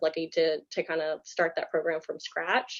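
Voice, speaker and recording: A woman talking at a fairly quick pace with an American accent. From US South, Baton Rouge, Louisiana. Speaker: animal shelter manager. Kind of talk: presentation. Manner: fast.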